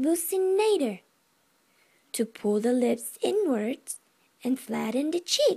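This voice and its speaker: Speaking at a very slow pace, a woman has a dark, mellow tone that turns playful and upbeat. Her pitch swings very widely against a quiet background. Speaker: anatomy and physiology student. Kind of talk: educational class presentation. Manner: playful, upbeat. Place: home room. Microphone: webcam.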